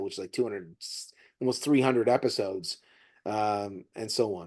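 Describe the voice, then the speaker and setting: Against a quiet background, a man with an ordinary speaking voice talks at a moderate pace in a fairly low pitch, with ordinary pitch variation and big swings in loudness. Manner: casual, conversational.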